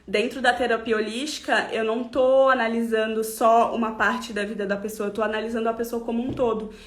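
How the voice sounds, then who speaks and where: A woman speaks in a monotone, flat intonation with hardly any pauses. Noticeable background noise is present. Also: fairly high pitch for a woman. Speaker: holistic therapist. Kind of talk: live stream talk. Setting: online live stream.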